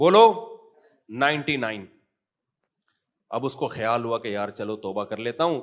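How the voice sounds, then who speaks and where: An animated man's voice at medium pitch, with ordinary pitch variation. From Pakistan (Karachi). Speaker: Islamic scholar and mufti giving a sermon. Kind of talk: religious sermon (bayan) to an audience. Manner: conversational, animated, rhetorical questions.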